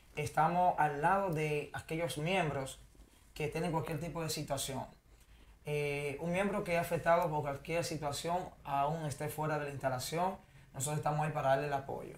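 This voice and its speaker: The man's voice is somewhat breathy, with monotone, flat intonation. He keeps a moderate pace. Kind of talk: interview answer. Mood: warm, grateful, promotional. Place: studio. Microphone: lapel.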